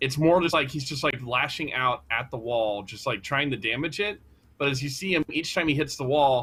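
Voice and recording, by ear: This is someone reading aloud in a natural voice, with ordinary pitch variation.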